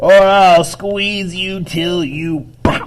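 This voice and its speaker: A man does a put-on character voice at a high pitch. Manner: threatening.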